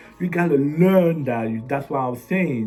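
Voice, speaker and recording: A man with a non-native accent in an animated tone, at a moderate pace with ordinary pitch variation, with music in the background and audible room echo. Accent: foreign. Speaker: business owner and motivational vlogger. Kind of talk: motivational talk to camera. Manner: repetitive.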